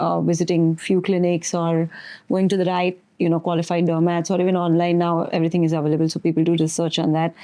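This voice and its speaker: Against a quiet background, a woman speaks at a fairly quick pace in a fairly low pitch with a dark, mellow tone. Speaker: doctor, podcast interviewer. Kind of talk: interview questions and commentary.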